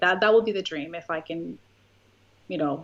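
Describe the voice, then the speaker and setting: Speaking at a moderate pace, a woman with a Spanish accent has a fairly low pitch. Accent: Spanish accent, noticeable. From Puerto Rico. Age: 30s. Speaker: YouTuber. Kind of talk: interview.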